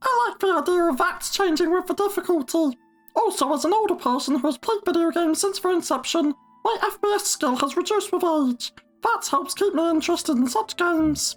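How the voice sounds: A squeaky, put-on character voice at an extremely high pitch and a fairly quick pace, with music in the background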